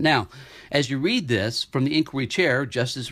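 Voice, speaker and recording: A man with a medium pitch talks at a fairly quick pace in an animated tone on a very clean recording with a silent background. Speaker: investment newsletter analyst. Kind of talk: market update podcast walking through charts. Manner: fast; animated, with frequent repetitions and fillers.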